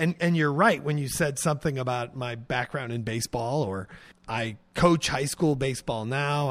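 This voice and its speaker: Here a man with an American accent uses ordinary pitch variation in a normal speaking voice. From US Midwest, Illinois. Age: 40s. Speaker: painter and art professor. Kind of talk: casual interview. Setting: artist's studio.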